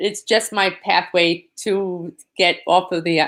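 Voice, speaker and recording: In a very clean recording with a silent background, a woman with a New York accent speaks at a fairly low pitch with fairly even intonation. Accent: New York (Queens). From New York, Queens. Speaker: disaster survivor advocate. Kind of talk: interview.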